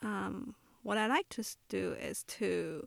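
A woman speaks softly in a Chinese accent. The recording is very clean, with a silent background. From China, Shanghai. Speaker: photographer. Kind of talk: interview. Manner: soft-spoken; halting.

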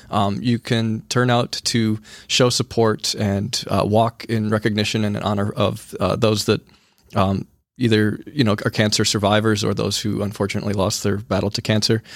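A man's fairly low, monotone, flat voice at a moderate pace in a very clean recording with a silent background. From rural eastern Wisconsin, Sheboygan area. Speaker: high school teacher. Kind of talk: interview. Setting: studio.

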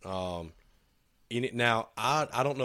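Spoken in a Southern US accent with ordinary pitch variation, the clip is a very clean recording with a silent background. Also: man. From US South. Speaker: woodworking shop owner, podcast co-host. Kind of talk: casual chat.

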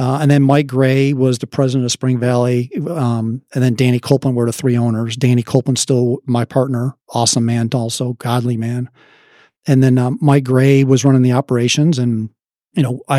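In a strong Chicago accent, a man speaks at a medium pitch and a fairly quick pace with a dark, mellow tone and monotone, flat intonation, the sound dry and close with no echo on a very clean recording with a silent background. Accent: Chicago Midwestern, strong. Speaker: construction company president. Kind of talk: casual interview chat.

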